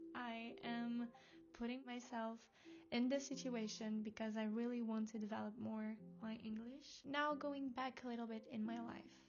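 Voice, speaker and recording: A woman's fairly high voice with a Portuguese accent, monotone and flat in intonation, at a moderate pace over noticeable background noise. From Portugal. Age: 20s. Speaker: vlogger. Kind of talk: casual vlog talk to camera. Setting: at home, in her room. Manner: halting non-native speech.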